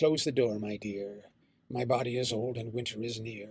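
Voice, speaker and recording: The speaker is a man using a put-on character voice. He pitches it at a medium level. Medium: read story. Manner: honeyed, coaxing.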